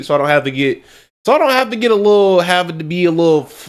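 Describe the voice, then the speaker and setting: With lively intonation, a man is talking. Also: very clean recording, silent background. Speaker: gaming youtuber reacting to a video. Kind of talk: casual reaction commentary. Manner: rambling, repeats and restarts phrases.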